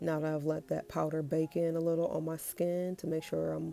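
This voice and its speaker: Background music under a woman talking at a moderate pace. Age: 30s. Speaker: aspiring makeup artist. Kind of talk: makeup tutorial talk to camera.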